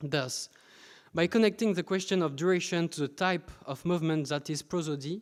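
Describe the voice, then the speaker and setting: A man with a French accent speaks at a high pitch and a moderate pace. The recording is very clean, with a silent background. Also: ordinary pitch variation. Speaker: PhD researcher presenting. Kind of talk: conference talk. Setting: conference with audience.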